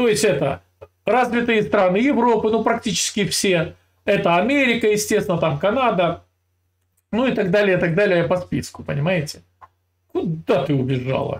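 A man's high-pitched voice with very wide pitch swings, very even loudness and long, frequent pauses. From Russia. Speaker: video channel host. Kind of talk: casual chat with a stranger, heated debate. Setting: California, USA. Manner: teasing, provocative. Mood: mocking, lecturing. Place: home room. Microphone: earbuds.

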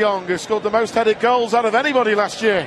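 Over noticeable background noise, a man speaks in an animated tone with a high pitch. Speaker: football commentator. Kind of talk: live football commentary. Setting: stadium commentary, match broadcast. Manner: animated, fast, rising excitement at chances.

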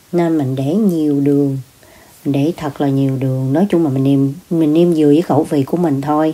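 Speaking at a moderate pace, a woman has a very deep, low pitch with ordinary pitch variation. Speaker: home cook vlogger. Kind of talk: cooking tutorial chat. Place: kitchen. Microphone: phone near.

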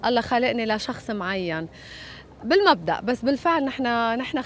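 A woman with a high pitch and lively intonation is heard in a dry sound with no echo over light background noise. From Lebanon. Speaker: singer. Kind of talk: interview. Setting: hotel. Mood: lively, candid. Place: waterside. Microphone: handheld.

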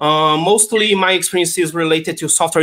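Bright and sharp in tone, a man with a Portuguese accent and a fairly high pitch speaks with ordinary pitch variation over a quiet background. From Brazil. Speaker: tech conference speaker; conference speaker. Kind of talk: conference talk. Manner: hesitant, many fillers. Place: home room.

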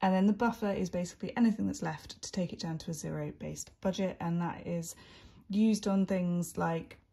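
At a moderate pace, a woman speaks with a dark, mellow tone that is somewhat breathy. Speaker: budgeting creator. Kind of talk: casual vlog chat. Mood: relaxed, chatty.

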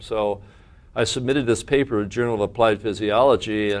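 The pace is very fast. A man speaks in a fairly low pitch with fairly even intonation. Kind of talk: interview answer. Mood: warm, amused storytelling. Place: meeting room. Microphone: lapel.

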